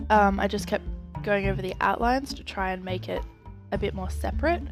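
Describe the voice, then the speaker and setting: A woman with an Australian accent at a fairly quick pace, music in the background. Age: 20s. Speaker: artist vlogger. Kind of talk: casual talk to camera.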